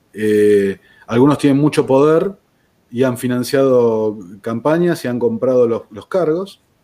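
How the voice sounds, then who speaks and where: With lively intonation, the tone comes across dark and mellow. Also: man. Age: 40s. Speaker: podcast host, former political aide. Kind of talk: interview conversation. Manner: halting.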